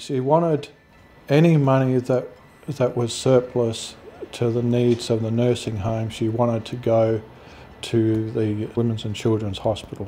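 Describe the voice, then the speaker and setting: Fairly even intonation and a fairly slow pace, in an Australian accent. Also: man, medium pitch for a man. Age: 60s. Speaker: grieving son. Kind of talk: interview testimony.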